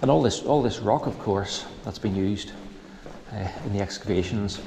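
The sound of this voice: With vocal fry and ordinary pitch variation, a man speaks at a fairly low pitch in a dark, mellow tone. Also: moderate pace.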